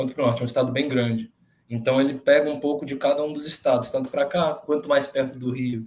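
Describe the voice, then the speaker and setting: A man's fairly high-pitched voice, very fast in pace, with flat, monotone intonation. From Minas Gerais, Brazil. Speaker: contest participant. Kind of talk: casual chat.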